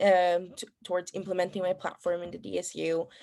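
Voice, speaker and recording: In a very clean recording with a silent background, a woman with a Spanish accent speaks with a dark, mellow tone and a fairly low pitch. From Ecuador. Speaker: student election candidate. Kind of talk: debate Q&A answers. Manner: halting, many fillers.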